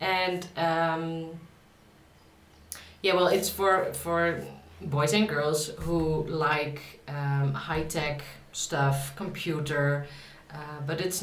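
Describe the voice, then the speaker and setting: Very slow speech with a Dutch accent, ordinary pitch variation, audible room echo and noticeable background noise. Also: woman. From Netherlands. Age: 30s. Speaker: author. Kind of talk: casual vlog talk. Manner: halting, many fillers.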